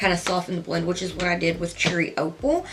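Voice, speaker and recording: A woman is heard talking while noticeable noise runs in the background. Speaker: beauty youtuber. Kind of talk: makeup tutorial. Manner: soft-spoken, talking quietly; loud by habit.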